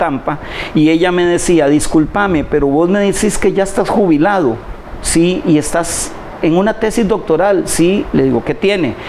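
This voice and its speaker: Noticeable background noise sits behind the voice. A man speaks at a high pitch with ordinary pitch variation. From Costa Rica, Puntarenas province (Quepos). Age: 60s. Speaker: retired public administrator and doctoral scholar. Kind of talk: interview conversation. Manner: halting, frequent repetitions.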